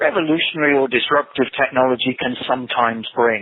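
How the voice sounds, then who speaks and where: This man has an English accent and a medium pitch. He talks at a moderate pace with fairly even intonation. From England. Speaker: tech company program manager. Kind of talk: webinar presentation. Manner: halting, many repetitions.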